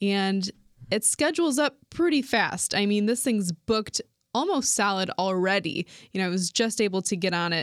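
A woman's unremarkable speaking voice at medium pitch, with an American accent, lively intonation, moderate pace and very even loudness, in a very clean, silent, dry, close recording with no echo. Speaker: radio co-host. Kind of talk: casual chat. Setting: studio.

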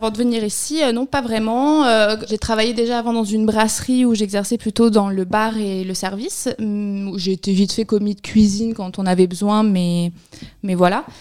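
This woman has a plain, everyday voice with a fairly high pitch. She talks at a moderate pace with fairly even intonation. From Barcelona, Spain. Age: 20s. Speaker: seasonal snack bar worker. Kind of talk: interview.

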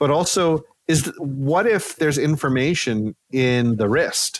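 A man's medium-pitched voice, a plain, everyday voice, shows ordinary pitch variation. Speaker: sleep scientist. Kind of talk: casual interview.

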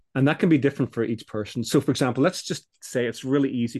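A man's voice against a quiet background. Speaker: business coach. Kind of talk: interview conversation. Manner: hesitant, repeats words.

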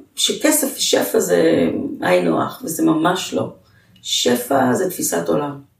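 Audible room echo surrounds the recording. A woman speaks at a very slow pace. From Israel, Jerusalem. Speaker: nonprofit founder and CEO. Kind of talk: interview, life story.

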